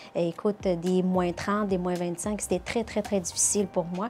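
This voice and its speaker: A woman speaks in a Charlevoix accent at a medium pitch, with fairly even intonation. Her pace is moderate, and music plays in the background. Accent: Québécois (Charlevoix). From Morocco. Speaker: nurse. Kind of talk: interview.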